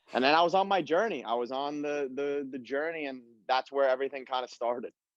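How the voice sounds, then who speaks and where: A man with an American accent talks at a very fast pace in a fairly high pitch, with ordinary pitch variation. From Long Island, New York, US. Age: 20s. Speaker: professional footballer. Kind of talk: casual chat.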